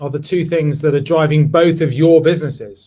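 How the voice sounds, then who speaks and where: Speaking with a London accent at a moderate pace, a man uses a fairly high pitch and a dark, mellow tone. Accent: British (London). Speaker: tech executive, former government CTO. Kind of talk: virtual panel discussion.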